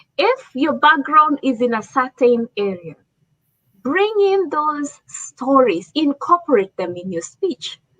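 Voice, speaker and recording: Very wide pitch swings mark a woman's high-pitched voice with a bright, sharp tone. She talks at a very slow pace in a dry, close sound with no echo. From Africa. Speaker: leadership speaker. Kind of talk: talk show presentation.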